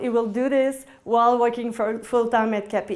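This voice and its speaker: This woman has a French-Canadian accent. Her voice sits at a high pitch. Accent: French-Canadian accent, noticeable. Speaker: indie game producer. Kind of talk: talk to audience. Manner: halting.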